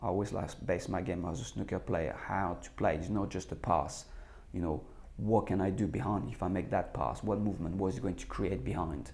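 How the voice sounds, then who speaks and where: With a French accent and vocal fry, the voice has a dark, mellow tone and lively intonation at a moderate pace, with audible room echo. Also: man. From France. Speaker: former footballer and football manager. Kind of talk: interview. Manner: hesitant, many repeated words.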